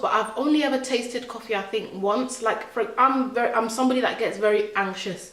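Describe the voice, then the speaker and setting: Against noticeable background noise, a woman speaks high in pitch with an animated tone. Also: hardly any pauses. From born in Nigeria, grew up in England from about age 7. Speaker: vlogger. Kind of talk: casual chat. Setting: at home. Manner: halting.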